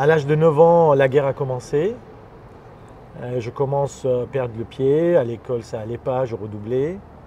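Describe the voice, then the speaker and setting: With a dark, mellow tone, a man speaks at medium pitch and a moderate pace, using ordinary pitch variation and long, frequent pauses. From Lebanon (Armenian family, Beirut). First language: Armenian (speaking French). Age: 50s. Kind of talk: interview. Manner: hesitant, many fillers.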